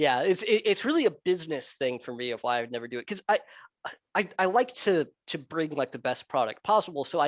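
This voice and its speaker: With a Southern US accent and lively intonation, the speaker goes at a fairly quick pace in a dry, close sound with no echo over a quiet background. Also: man. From US South, Florida. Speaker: repair channel host. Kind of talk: casual interview chat. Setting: video call.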